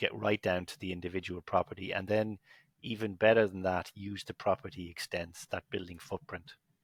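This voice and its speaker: In an Irish accent, a man speaks at a fairly quick pace with a very deep, low pitch and fairly even intonation, recorded very cleanly against a silent background with a dry, close sound and no echo. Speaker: business executive. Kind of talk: podcast interview.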